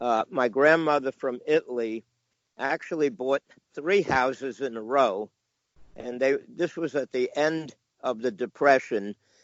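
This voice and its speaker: A man's medium-pitched voice with a New York accent, fairly slow in pace, with ordinary pitch variation. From New York, Long Island (New Hyde Park, near Queens). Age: 70s. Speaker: comic book collector and dealer. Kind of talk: casual interview, storytelling. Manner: halting, with many fillers.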